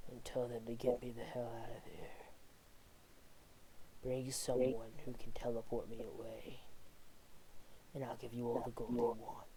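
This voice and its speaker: A put-on character voice sounds strained and soft-spoken at a low-to-middle pitch. It moves at a moderate pace with long, frequent pauses over clear background noise. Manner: extremely quiet, strained to be soft.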